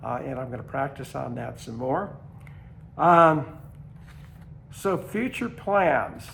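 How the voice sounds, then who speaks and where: There is vocal fry in this man's voice. He talks very slowly with ordinary pitch variation. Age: 80s+. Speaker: long-distance hiker. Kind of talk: casual talk to camera. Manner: hesitant, many fillers.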